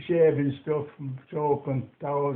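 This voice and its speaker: Fairly high in pitch, a man speaks slowly in a monotone, flat intonation at a fairly slow pace. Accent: Lancashire. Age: 80s+. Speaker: war veteran. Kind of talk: interview answer.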